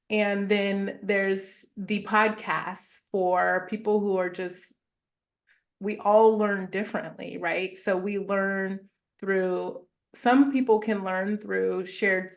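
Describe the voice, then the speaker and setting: In an American accent, a woman speaks at a very slow pace and a medium pitch. Her intonation is monotone and flat, and the background is quiet. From Southern California (Chino Hills). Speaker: therapist and wellness entrepreneur. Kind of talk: interview conversation.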